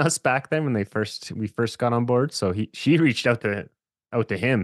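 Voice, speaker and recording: A man at a moderate pace with ordinary pitch variation, dry, close sound with no echo and a quiet background. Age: 30s. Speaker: podcast host and small record label owner. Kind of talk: casual chat.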